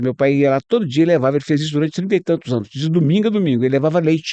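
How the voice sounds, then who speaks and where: A man's dark, mellow voice rises and falls with lively intonation, heard dry and close with no echo. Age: 60s. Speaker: radio journalist. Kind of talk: interview.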